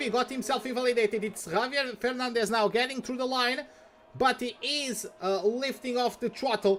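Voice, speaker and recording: A man with a Portuguese accent speaks at an extremely high pitch. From Portugal. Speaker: esports commentator. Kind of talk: live commentary.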